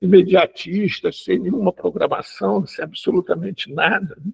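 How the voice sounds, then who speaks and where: Dry and close with no echo, a man's voice is heard. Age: 70s. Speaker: activist for homeless people, talk host. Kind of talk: panel discussion.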